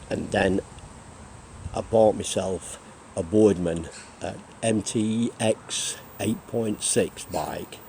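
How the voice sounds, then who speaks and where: A man speaks with an English accent in a fairly low voice. His pitch varies in an ordinary way. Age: 60s. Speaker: retired cyclist vlogger. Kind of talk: casual vlog monologue. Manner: hesitant, many fillers.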